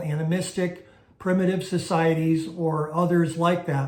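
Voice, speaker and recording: A man's high-pitched voice, very slow and fairly even in intonation, with audible room echo. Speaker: Bible teacher. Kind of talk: teaching lecture. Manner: hesitant fillers.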